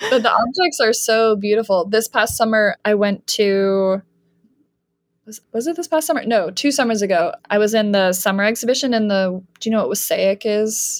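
An unremarkable speaking voice: a woman with a Canadian accent, fairly high in pitch, with ordinary pitch variation at a moderate pace, in a dry, close sound with no echo. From Canada. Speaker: art professor and printmaker. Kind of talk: casual interview chat.

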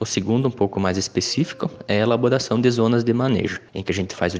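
The man's pitch is fairly low, with ordinary pitch variation. He rattles along at a very fast pace. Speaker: agronomist, business partner, sponsor. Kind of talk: scripted sponsor message.

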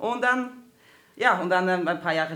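With lively intonation, a woman in a Swedish accent speaks at a moderate pace. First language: Swedish (speaking German). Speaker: performer and comedian. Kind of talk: casual chat.

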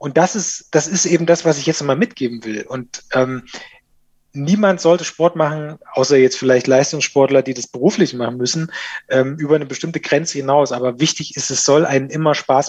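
Against a quiet background, a man in a plain, everyday voice talks at a fairly high pitch and moderate pace with ordinary pitch variation. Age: 40s. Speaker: digital marketing manager. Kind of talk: casual interview.

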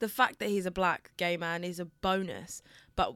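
Her fairly low voice moves at a fairly quick pace in a monotone, flat intonation. This woman is heard on a very clean recording with a silent background. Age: 20s. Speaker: podcast co-host. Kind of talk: casual chat.

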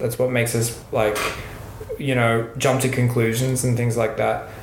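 With an Australian accent and a medium pitch, a man talks over noticeable background noise, with audible room echo. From Western Australia. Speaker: podcaster and performer. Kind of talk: casual chat.

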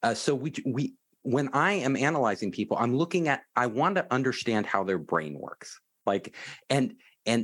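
On a very clean recording with a silent background, a man with an American accent speaks with vocal fry and very wide pitch swings. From US, Silicon Valley. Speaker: startup investor and accelerator CEO. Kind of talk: interview. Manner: relaxed and confident.

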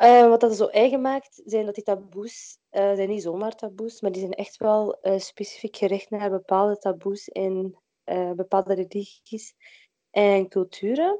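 A woman of medium pitch speaks at a fairly slow pace with a dark, mellow tone. Her intonation stays fairly even against a quiet background. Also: dry, close sound with no echo. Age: 20s. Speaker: midwife and workshop founder. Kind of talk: interview. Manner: hesitant, many filler sounds.

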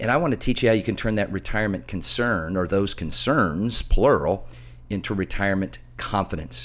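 Using very wide pitch swings and vocal fry, a man speaks at a moderate pace. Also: fairly low pitch for a man. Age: middle-aged. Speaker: financial radio host and author. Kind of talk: radio talk show with sales pitch. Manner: animated.

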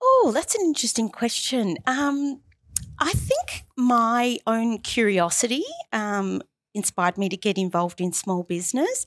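With an Australian accent, a woman talks at a fairly slow pace with lively intonation and fairly high pitch, the sound dry and close with no echo. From Australia, Melbourne. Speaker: marketing business founder. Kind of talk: interview.

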